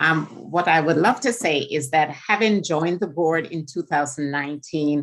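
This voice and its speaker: A woman speaks with a Jamaican accent in a very deep, low voice. Her pace is moderate and her pitch varies in an ordinary way. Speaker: state board member. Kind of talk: legislative testimony. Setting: committee hearing, live streamed.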